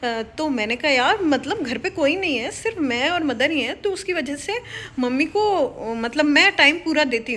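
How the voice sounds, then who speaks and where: A woman's shrill, high-pitched, animated voice with very wide pitch swings, a moderate pace and hardly any pauses, over noticeable background noise. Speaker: government office employee and YouTuber. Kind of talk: casual motivational vlog talk.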